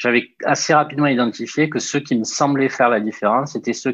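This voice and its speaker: In a dry, close sound with no echo, a man talks at a very fast pace with fairly even intonation. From southern France, Toulouse. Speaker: entrepreneur, startup founder. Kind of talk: interview. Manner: hesitant, many filler sounds.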